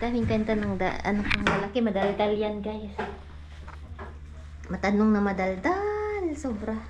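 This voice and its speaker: With noticeable background noise and audible room echo, a woman speaks at a fairly slow pace with long, frequent pauses. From Philippines. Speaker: vlogger and mother. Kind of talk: casual family vlog. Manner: chatty, code-switching Tagalog and English.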